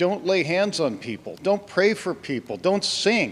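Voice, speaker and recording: The pace is very slow. The pitch swings very widely. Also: man. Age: 60s. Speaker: longtime congregation member. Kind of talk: church Q&A discussion. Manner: halting.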